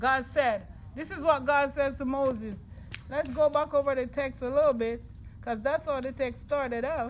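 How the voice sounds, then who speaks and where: Someone speaks with a Jamaican accent over noticeable background noise. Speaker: preacher. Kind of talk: sermon. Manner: call-and-response with congregation.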